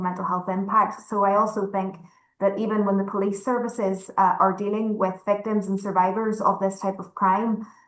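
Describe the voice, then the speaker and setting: In a Northern Irish accent, a woman speaks at a moderate pace and medium pitch, her intonation monotone and flat. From Northern Ireland. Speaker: panelist, advocate against gender-based violence. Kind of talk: panel discussion.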